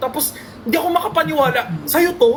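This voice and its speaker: Fairly quick pace and animated tone, over noticeable background noise. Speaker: live streamer. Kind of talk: casual chat.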